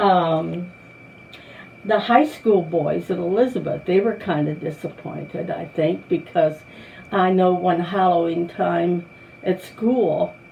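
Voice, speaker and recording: There is noticeable background noise as a woman with a fairly low pitch speaks at a very slow pace with ordinary pitch variation. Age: 80s+. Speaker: longtime church member. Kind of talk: oral history interview. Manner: halting.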